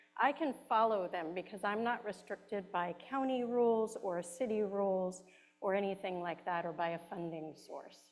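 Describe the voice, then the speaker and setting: Music sits in the background. A woman talks at a moderate pace with ordinary pitch variation. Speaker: care management director. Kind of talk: presentation. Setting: hall with audience, also on video call.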